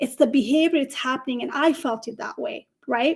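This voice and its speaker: This woman talks at a moderate pace in an animated tone, her high voice showing ordinary pitch variation, with a non-native accent. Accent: foreign. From Nepal. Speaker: career coach. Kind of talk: live stream panel discussion.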